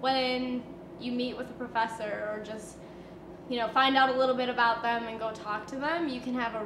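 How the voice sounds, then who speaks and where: A woman talks at a fairly quick pace with fairly even intonation, amid audible room echo and noticeable background noise. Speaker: university student. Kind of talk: testimonial interview.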